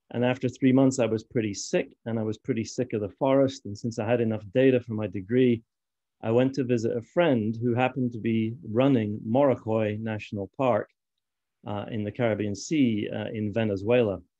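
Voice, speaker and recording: A man speaks at a medium pitch with a slight Scottish accent and a dark, mellow tone. His pace is fairly quick and his intonation fairly even. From Scotland. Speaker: fisheries conservation expert. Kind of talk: conference talk.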